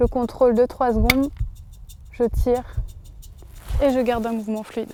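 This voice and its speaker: Over music in the background, a woman speaks at a high pitch and a moderate pace with monotone, flat intonation. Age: 20s. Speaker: sport shooter. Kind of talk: explanatory interview.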